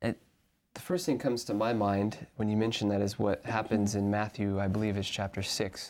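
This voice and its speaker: A man with an American accent and a normal speaking voice talks at a fairly quick pace, fairly low in pitch. His intonation is fairly even, his loudness very even, and the recording very clean with a silent background. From US South, Arkansas. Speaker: seminary student. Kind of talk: Bible study discussion.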